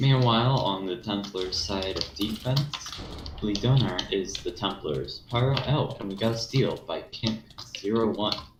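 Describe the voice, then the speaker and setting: Speaking at a fairly slow pace, a man with a fairly low pitch and ordinary pitch variation is heard against noticeable background noise. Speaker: co-commentator. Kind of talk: live commentary.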